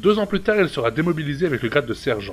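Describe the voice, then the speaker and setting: With music in the background, a man talks with very wide pitch swings. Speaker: YouTube host. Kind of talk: biography narration.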